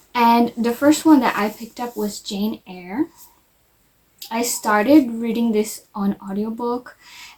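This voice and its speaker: Pitched fairly high, a woman speaks at a fairly slow pace with big swings in loudness. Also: ordinary pitch variation. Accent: non-native. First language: not English. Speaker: vlogger. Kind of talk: casual book review vlog.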